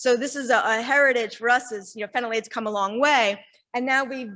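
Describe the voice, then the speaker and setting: A loud, high-pitched woman's voice, bright and sharp, at a fairly quick pace with ordinary pitch variation against a quiet background. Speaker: industry representative. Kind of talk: sponsor presentation.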